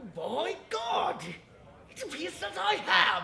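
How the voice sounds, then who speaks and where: Someone speaks at a very slow pace in a put-on character voice, with clear background noise behind them. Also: man, high pitch for a man. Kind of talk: comedy sketch dialogue.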